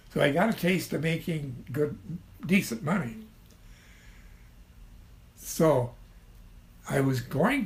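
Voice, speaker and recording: A man with a Midwestern American accent speaks very slowly at a fairly high pitch. His voice has vocal fry and ordinary pitch variation. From Ottawa, Illinois. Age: 80s+. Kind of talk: interview answer.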